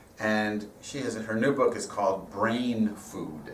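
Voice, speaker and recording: With audible room echo and noticeable background noise, a man of fairly low pitch speaks with ordinary pitch variation. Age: 60s. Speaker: rabbi and guest speaker. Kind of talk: sermon.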